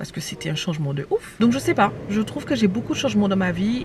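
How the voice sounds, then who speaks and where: A woman talks very fast at a medium pitch. Noticeable background noise is present. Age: 20s. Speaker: vlogger and online entrepreneur. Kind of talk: casual vlog chat. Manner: animated.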